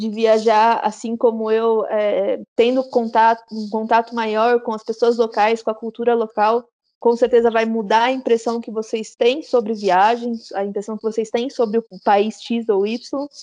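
At a fairly slow pace, a woman speaks in a fairly high pitch with a dark, mellow tone and monotone, flat intonation. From interior of São Paulo state, Brazil (Araras). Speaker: travel influencer. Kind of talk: interview.

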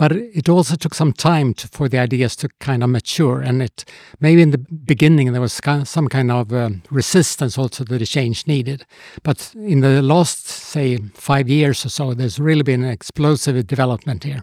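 Medium in pitch and dark, mellow in tone, a man speaks at a moderate pace. The sound is dry and close, with no echo. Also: ordinary pitch variation. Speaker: innovation advisor. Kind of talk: podcast interview. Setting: studio.

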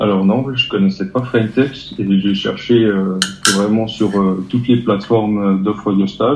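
A man talks fairly slowly, his pitch fairly low and his intonation fairly even. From eastern France, Territoire de Belfort. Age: 20s. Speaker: apprentice lab technician. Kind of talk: interview. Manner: hesitant, many fillers.

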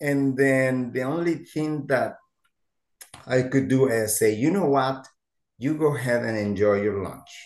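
A man speaks with a Mexican accent at a fairly slow pace. His pitch sits in the medium range, with ordinary variation. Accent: Mexican Spanish-accented English, noticeable. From Mexico. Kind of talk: interview conversation.

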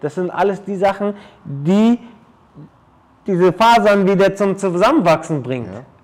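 With a high pitch, a man speaks at a moderate pace and ordinary pitch variation, leaving long, frequent pauses. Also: big swings in loudness. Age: 30s. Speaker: athletic trainer and personal coach. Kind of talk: casual interview. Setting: his training studio.

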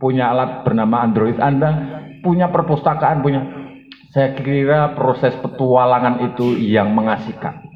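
A man's medium-pitched voice at a moderate pace and very even loudness, with noticeable background noise. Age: 40s. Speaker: sociology lecturer and activist. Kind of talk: panel discussion answer.

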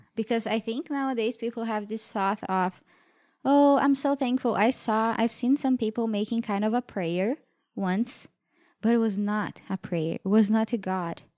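A woman speaks at a fairly high pitch with ordinary pitch variation and a dark, mellow tone. The recording is very clean, with a silent background. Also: moderate pace. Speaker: devotional co-host, mother. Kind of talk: casual devotional chat. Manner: halting, searching for words.

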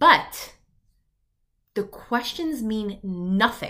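In a New York accent, a woman speaks with an animated, bright and sharp tone on a very clean recording with a silent background. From US, Long Island, New York. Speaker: business coach podcast host. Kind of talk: solo podcast monologue.

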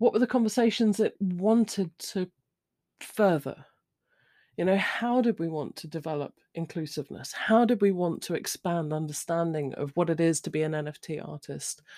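A woman's fairly low, dark, mellow voice with a British accent and lively intonation, at a moderate pace in a dry, close sound with no echo and a very clean recording with a silent background. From Britain. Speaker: podcast host. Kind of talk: solo monologue. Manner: rambling, informal.

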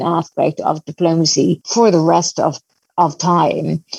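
A woman speaks with a Dublin accent in a fairly low pitch and a dark, mellow tone. Her fairly slow speech has a dry, close sound with no echo. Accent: Dublin Irish. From Ireland, Dublin. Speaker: academic. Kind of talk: interview. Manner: halting, with repeated words.

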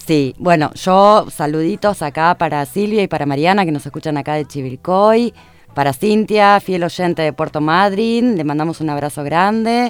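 With an unremarkable speaking voice, a woman talks at a moderate pace, her fairly low pitch carried by lively intonation. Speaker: radio co-host. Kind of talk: news reading.

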